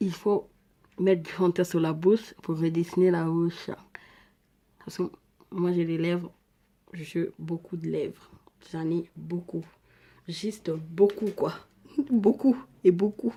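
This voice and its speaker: A dark, mellow tone carries an African accent at a very slow pace. The intonation stays fairly even, broken by long, frequent pauses. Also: woman, fairly low pitch for a woman. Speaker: beauty vlogger. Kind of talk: makeup tutorial. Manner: casual, chatty.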